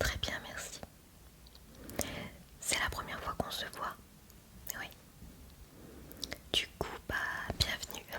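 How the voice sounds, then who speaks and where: A woman is whispering in a gentle tone at a very slow pace, with long, frequent pauses and noticeable background noise. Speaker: ASMR roleplay dermatologist. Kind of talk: ASMR medical roleplay, soft talk to the listener. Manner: soft-spoken, gentle, calming.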